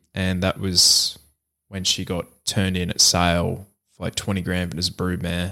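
In a very clean recording with no background sound, a man with an Australian accent speaks at a moderate pace, his very deep, low voice bright and sharp in tone yet flat and monotone in intonation. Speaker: horse racing podcast host. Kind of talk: casual chat.

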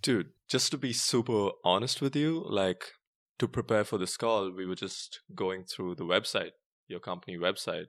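A man's plain, everyday voice at a moderate pace, with lively intonation and a quiet background. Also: fairly low pitch for a man. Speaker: podcast co-host. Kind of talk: casual interview chat.

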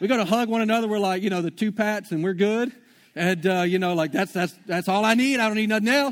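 A man talks at a very fast pace. His pitch is high, with ordinary pitch variation. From Shreveport, Louisiana. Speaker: pastor. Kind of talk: sermon. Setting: church. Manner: casual, filler-heavy.

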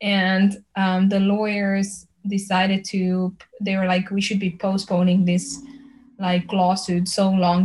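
In a Slovenian accent, a woman speaks at medium pitch with a monotone, flat intonation. Her voice is somewhat breathy. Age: 20s. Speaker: pop singer. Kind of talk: interview conversation.

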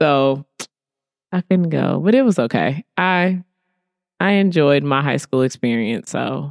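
With an American accent, a woman talks at a very deep, low pitch and with lively intonation, leaving long, frequent pauses, in a dry, close sound with no echo. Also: fairly slow pace. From Chicago. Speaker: professional bodybuilder. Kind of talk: casual chat.

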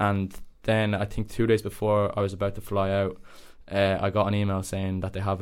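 A man speaks in a Dublin accent with a fairly low voice and monotone, flat intonation. The recording is very clean, with a silent background. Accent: Dublin Irish. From Dublin area, Ireland. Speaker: university student. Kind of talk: casual chat.

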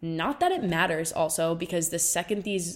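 Her voice is a plain, everyday voice, fairly low in pitch with ordinary pitch variation. This woman speaks at a moderate pace. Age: 20s. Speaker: solo podcaster, recent college graduate. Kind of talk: casual solo monologue.

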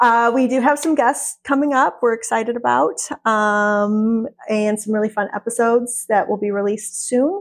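A woman with an unremarkable speaking voice, fairly high in pitch with ordinary pitch variation, against a quiet background. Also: moderate pace, hardly any pauses. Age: 40s. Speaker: podcast co-host and wellness entrepreneur. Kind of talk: casual chat. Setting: studio.

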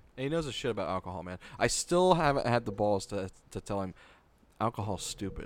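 At a fairly quick pace, a man with a fairly low pitch makes very wide pitch swings, recorded very cleanly against a silent background. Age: 20s. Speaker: podcast host. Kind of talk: casual chat.

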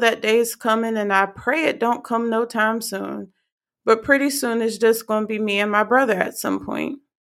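In an unremarkable speaking voice, a woman talks at a moderate pace with a fairly high pitch. The recording is very clean, with a silent background. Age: 20s. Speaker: faith podcast host. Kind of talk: casual monologue.

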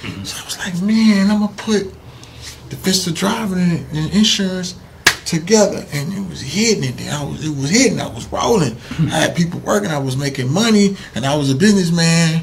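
A man with an American accent speaks at a fairly quick pace in a high-pitched voice. His loudness swings widely, and there is noticeable background noise. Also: lively intonation. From Missouri City, Texas. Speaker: comedian and entrepreneur. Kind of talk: casual interview.

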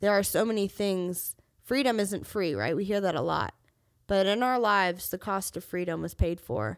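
On a very clean recording with a silent background, a woman speaks at a moderate pace in an animated tone, with medium pitch and ordinary pitch variation. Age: 20s. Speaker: podcast host. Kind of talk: solo monologue. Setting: studio.

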